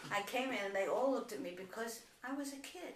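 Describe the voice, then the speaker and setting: In an American accent, a woman talks at a moderate pace with a high pitch and lively intonation, and audible room echo surrounds her voice. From New York City. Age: 80s+. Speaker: grandmother. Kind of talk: family interview.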